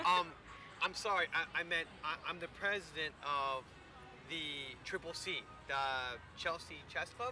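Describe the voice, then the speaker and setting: Against noticeable background noise, a man with a high pitch and ordinary pitch variation speaks in a dry sound with no echo. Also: fairly slow pace. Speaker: actor playing awkward suitor. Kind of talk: scripted dialogue. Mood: nervous, awkward, eager. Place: garden.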